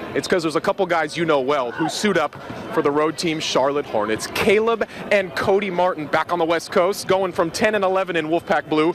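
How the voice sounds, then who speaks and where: Fairly quick speech with ordinary pitch variation and very even loudness over noticeable background noise. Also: man. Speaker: sports anchor and reporter. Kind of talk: live TV stand-up report. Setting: arena.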